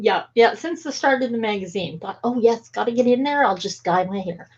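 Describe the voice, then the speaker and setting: A woman speaks with lively intonation. Her voice is fairly high and somewhat breathy. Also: fairly quick pace. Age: 60s. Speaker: talk show host. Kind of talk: interview conversation.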